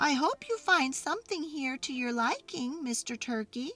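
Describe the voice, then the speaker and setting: A female-sounding voice uses a put-on character voice at a high pitch for a woman. The pace is moderate. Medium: read story.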